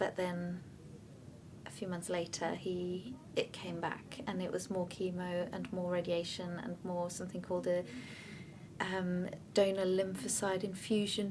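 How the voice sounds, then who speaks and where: A woman's somewhat breathy, medium-pitched voice, monotone and flat, at a fairly slow pace, with audible room echo. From Denmark. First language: Danish. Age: 20s. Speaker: bereaved partner. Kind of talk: testimony. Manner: hesitant, with many fillers.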